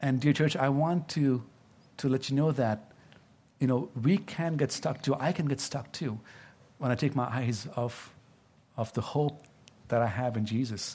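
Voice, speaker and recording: Over a silent background on a very clean recording, a man with a Tamil accent speaks at a moderate pace and medium pitch, somewhat breathy, with ordinary pitch variation and long, frequent pauses. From India (Tamil-speaking). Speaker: pastor. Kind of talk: sermon. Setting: church. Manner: halting.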